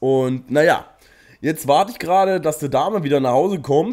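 A man speaks at a fairly high pitch with lively intonation. His tone is dark and mellow. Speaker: gaming YouTuber. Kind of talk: casual gameplay commentary. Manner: casual, chatty.

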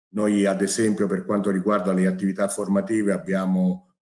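Against a quiet background, a man speaks in a fairly low pitch with a dark, mellow tone and monotone, flat intonation. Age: 60s. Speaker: business executive. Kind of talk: formal ceremony speech. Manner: formal. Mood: formal, measured. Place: office. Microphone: webcam.

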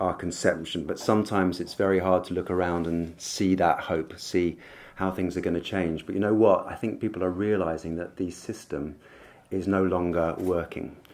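A man speaks at a moderate pace with a very deep, low pitch. His intonation is monotone and flat. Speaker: speaker. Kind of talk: conference speech. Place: hall. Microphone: podium.

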